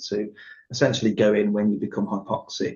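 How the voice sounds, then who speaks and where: Talking at a very fast pace, a man uses a medium-pitched voice. It sounds somewhat breathy. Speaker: doctor, podcast host. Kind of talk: relaxed podcast interview.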